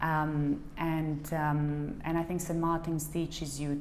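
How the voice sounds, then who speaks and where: A monotone, flat delivery in a Serbian accent, with audible room echo. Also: woman. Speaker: fashion designer. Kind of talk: interview. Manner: halting, many fillers.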